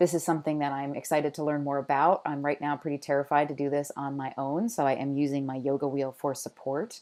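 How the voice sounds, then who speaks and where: A woman with an American accent, very deep and low in pitch, dark and mellow in tone, at a moderate pace against a quiet background. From Washington, D.C., US. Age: 30s. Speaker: pole dance instructor and convention organizer. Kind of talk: application video narration.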